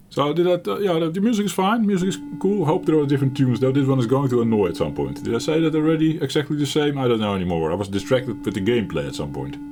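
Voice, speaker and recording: A man with a Dutch accent at fairly high pitch, at a very fast pace with hardly any pauses and very wide pitch swings, music in the background. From Netherlands. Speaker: gaming YouTuber. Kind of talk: casual gameplay commentary. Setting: home office. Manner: halting. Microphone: mic a bit far from mouth.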